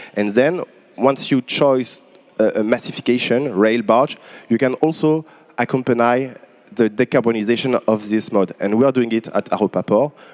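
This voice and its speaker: With a French accent, a man talks at a moderate pace and ordinary pitch variation. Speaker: port company manager. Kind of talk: panel discussion. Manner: halting.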